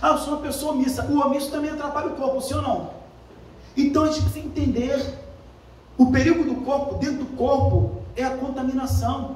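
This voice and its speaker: Amid noticeable background noise and audible room echo, a man with an extremely high pitch talks at a fairly quick pace in an animated tone. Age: 40s. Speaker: pastor. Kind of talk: sermon. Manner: fast.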